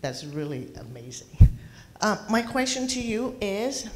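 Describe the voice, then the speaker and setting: Speaking very slowly with a Thai accent, a woman's voice swings very widely in pitch and shows vocal fry, with audible echo from the room. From Thailand. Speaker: audience member. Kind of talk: audience question. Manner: halting.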